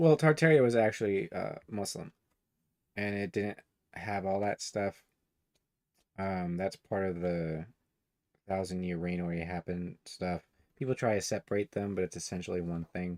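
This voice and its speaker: On a very clean, dry, close recording with a silent background and no echo, a man with a very deep, low pitch talks at a moderate pace, with ordinary pitch variation and long, frequent pauses. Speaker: online commentator. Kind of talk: casual reading and commentary livestream. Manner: voice drops low at times; rambling, halting with fillers.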